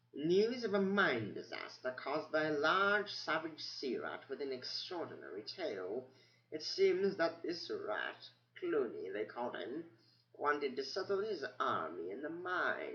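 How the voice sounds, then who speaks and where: A squeaky put-on character voice from a man at a moderate pace. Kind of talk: bedtime story. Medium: read story. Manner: rambling, hesitant, muttering.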